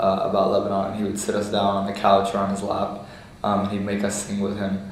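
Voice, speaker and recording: With noticeable background noise and audible room echo, a man talks very fast in a fairly low, monotone, flat voice. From United States. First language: Lebanese Arabic. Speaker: oral history interviewee. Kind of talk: interview.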